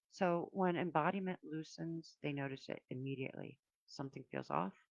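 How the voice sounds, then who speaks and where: A woman talks at a moderate pace, the sound dry and close with no echo. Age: 60s. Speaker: spiritual channel host, astrology and tarot reader. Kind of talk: solo livestream talk. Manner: halting, many restarts and fillers.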